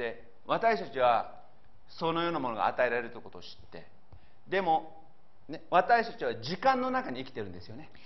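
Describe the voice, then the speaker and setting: A man talks at a fairly quick pace in a fairly high pitch, with very wide pitch swings, big swings in loudness and vocal fry. Audible room echo surrounds him. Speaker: pastor. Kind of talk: sermon.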